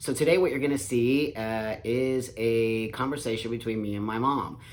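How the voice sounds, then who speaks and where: With ordinary pitch variation, a man talks at a moderate pace in a medium pitch, using an ordinary speaking voice. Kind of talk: casual talk to camera.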